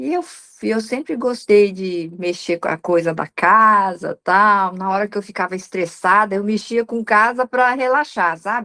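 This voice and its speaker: A woman's fairly high, ordinary speaking voice at a moderate pace, with lively intonation. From Paraná, Brazil (Assaí). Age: 60s. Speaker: professional organizer. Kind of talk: interview testimony.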